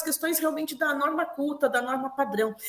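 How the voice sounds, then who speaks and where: A woman with a high pitch speaks in a raised, projected voice, her tone bright and sharp. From Brazil, Curitiba (Paraná). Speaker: linguistics professor. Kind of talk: interview conversation.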